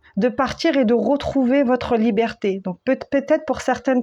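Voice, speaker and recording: This woman's voice is high-pitched with a dark, mellow tone. She speaks at a fairly slow pace. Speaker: tarot reader / spiritual medium. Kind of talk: spiritual guidance reading. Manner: calm, settled; usually loud.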